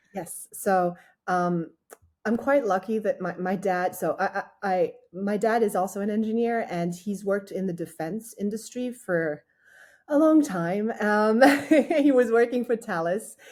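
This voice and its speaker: A woman with a French accent speaks fairly slowly at a medium pitch with ordinary pitch variation. The recording is very clean, with a silent background. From France, with childhood in Australia and teens in the US. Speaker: startup founder and engineer. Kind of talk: interview. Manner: hesitant, many fillers and restarts.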